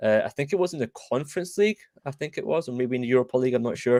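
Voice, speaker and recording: In a Scottish accent, a man speaks at medium pitch with ordinary pitch variation, the sound dry and close with no echo. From Scotland. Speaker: football podcast host. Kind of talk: casual chat. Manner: halting.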